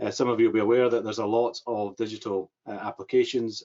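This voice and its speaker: A man talks at a fairly quick pace. He has a strong Scottish accent. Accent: thick Scottish. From Scotland. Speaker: government mental health advisor. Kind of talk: webinar presentation. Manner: hesitant, many fillers.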